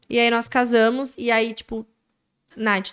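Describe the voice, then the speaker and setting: With a fairly high pitch, a woman speaks at a very slow pace. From Brazil, Mogi das Cruzes; Brazil. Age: 20s. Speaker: manicurist and business owner; podcast guest. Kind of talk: interview storytelling. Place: studio. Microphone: studio mic.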